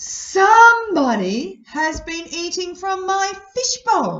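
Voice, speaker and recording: An extremely high, put-on character voice at a very slow pace. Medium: read story.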